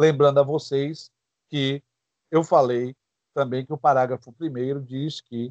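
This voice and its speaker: A man with a plain, everyday voice, fairly high in pitch with ordinary pitch variation, speaks at a moderate pace in a dry, close sound with no echo. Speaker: law teacher. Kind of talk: lecture.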